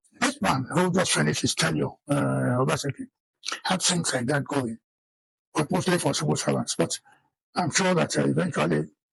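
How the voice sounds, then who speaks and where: A man with a Nigerian accent at a moderate pace, with long, frequent pauses, very even loudness, and a dry, close sound with no echo. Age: 80s+. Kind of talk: interview answer.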